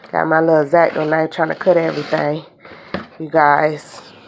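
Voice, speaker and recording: Noticeable background noise runs under a woman's fairly slow speech. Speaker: beauty and nails vlogger. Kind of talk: unboxing video, casual chat. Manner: animated.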